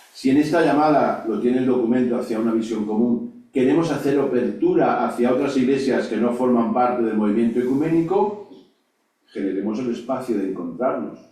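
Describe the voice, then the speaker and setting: Audible room echo surrounds a man speaking at a fairly quick pace in a medium pitch with ordinary pitch variation. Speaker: lecturer on ecumenism. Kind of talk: lecture. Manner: fast; halting with fillers.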